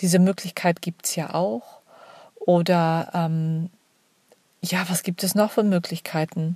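Somewhat breathy and dark, mellow in tone, a woman at a fairly low pitch speaks at a very slow pace with long, frequent pauses and fairly even intonation, in a dry, close sound with no echo. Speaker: podcast host. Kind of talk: solo monologue.

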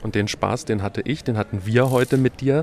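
A man talks at a fairly quick pace in a medium pitch, with ordinary pitch variation and a normal speaking voice. The sound is dry and close, with no echo. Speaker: podcast host. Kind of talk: travel podcast on location. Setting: outdoors in the city.

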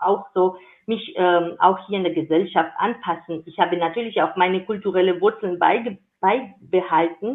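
A woman with a medium pitch and ordinary pitch variation talks fairly slowly. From Georgia. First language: Georgian (speaking German). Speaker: intercultural career advocate. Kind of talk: interview.

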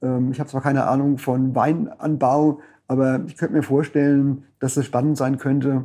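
At a moderate pace, a man speaks in a dark, mellow tone at a medium pitch with monotone, flat intonation. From Palatinate, Germany (Frankenthal). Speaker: dialectologist and publisher. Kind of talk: interview conversation.

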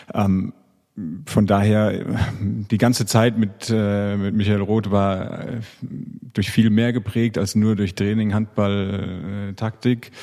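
The voice has a dark, mellow tone. It moves at a very slow pace in a monotone, flat intonation. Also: man, fairly low pitch for a man. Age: 30s. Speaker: professional handball player. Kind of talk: casual interview. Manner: hesitant, many fillers.

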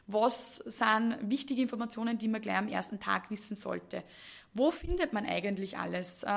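Fairly high-pitched woman's voice with vocal fry, very clean recording, silent background. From Upper Austria, Mühlviertel. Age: 20s. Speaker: HR manager. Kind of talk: podcast interview.

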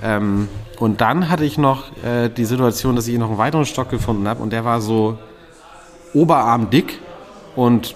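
Over noticeable background noise, a man speaks at medium pitch and a moderate pace. He takes long, frequent pauses, with ordinary pitch variation. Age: 30s. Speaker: podcast co-host. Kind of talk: casual chat. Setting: pub.

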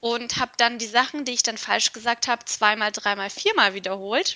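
In a high pitch, a woman speaks with a slight non-native accent and a bright, sharp tone. Her pace is moderate. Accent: near-native German, barely noticeable. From Turkey, Istanbul. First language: Turkish (speaking German). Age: 20s. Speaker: HR analytics project manager, psychologist. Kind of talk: interview.

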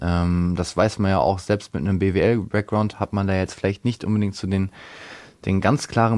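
A man speaks at a fairly quick pace. His voice sits fairly low, with fairly even intonation. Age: 20s. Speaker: financial consultant. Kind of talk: interview. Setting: studio. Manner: hesitant, many fillers.

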